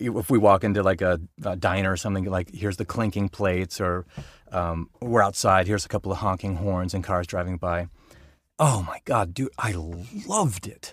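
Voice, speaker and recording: With an American accent, a man speaks at a moderate pace in a very deep, low pitch and fairly even intonation on a very clean recording with a silent background. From Colorado (Denver, Boulder). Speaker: voice actor. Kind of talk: casual chat. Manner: halting, many fillers and repetitions.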